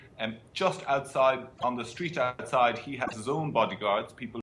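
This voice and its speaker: A man with an ordinary speaking voice talks at a moderate pace with ordinary pitch variation. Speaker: foreign correspondent. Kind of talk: interview answer.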